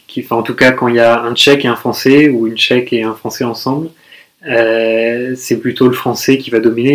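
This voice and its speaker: Here a man talks at a fairly quick pace and medium pitch. His intonation is monotone and flat. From France, Toulouse. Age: 30s. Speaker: expatriate. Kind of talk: casual interview. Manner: hesitant, many fillers.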